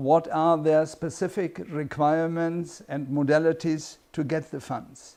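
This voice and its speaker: A man with a German accent speaks at a fairly slow pace in a fairly high pitch, his intonation fairly even. His tone is dark and mellow against a quiet background. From Germany. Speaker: international consultant and course instructor. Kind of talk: course introduction.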